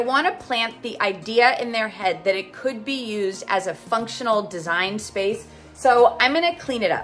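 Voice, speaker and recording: Faint music sits in the background. Over it, a woman talks at a moderate pace. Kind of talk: casual vlog chat. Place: home room. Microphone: phone near.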